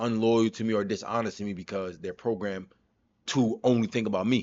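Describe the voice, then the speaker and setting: A man with a New York accent, fairly low in pitch, at a fairly quick pace. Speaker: streamer reacting to a video. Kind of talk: casual reaction commentary. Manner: animated.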